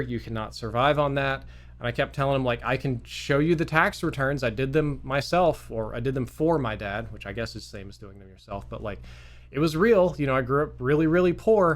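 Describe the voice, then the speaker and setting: Here is a man with a Southern accent. He talks at a fairly quick pace. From US South, Mississippi. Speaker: gaming youtuber. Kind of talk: storytelling monologue. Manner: casual, conversational.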